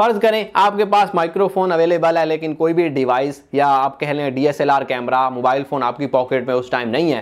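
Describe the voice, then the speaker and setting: At a moderate pace and with hardly any pauses, a man speaks with lively intonation. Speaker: tech reviewer. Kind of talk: product review. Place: studio. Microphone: lapel.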